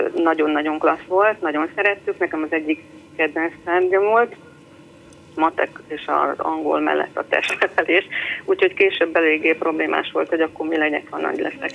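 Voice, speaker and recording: Noticeable background noise runs under the recording. A woman talks at a moderate pace. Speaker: caller, mother. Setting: phone call.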